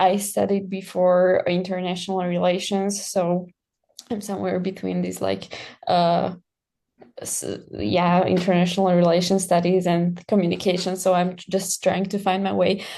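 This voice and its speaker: Her voice is medium in pitch with a dark, mellow tone. The woman talks at a moderate pace with monotone, flat intonation. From Slovakia. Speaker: student. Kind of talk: self-introduction in online class.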